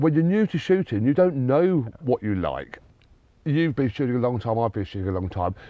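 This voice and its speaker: A man with a southern English accent at a medium pitch, moderate pace and very wide pitch swings. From southern England, Sussex. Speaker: sporting agent. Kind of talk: casual interview chat. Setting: recorded on location abroad.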